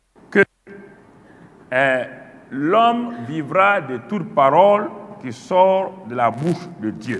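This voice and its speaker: A man's high-pitched voice at a very slow pace, with very wide pitch swings, long and frequent pauses, and music in the background. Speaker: preacher. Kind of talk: teaching sermon. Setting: church conference with audience. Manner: earnest, didactic; deliberate, emphatic, repeating key phrases. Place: studio. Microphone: lapel.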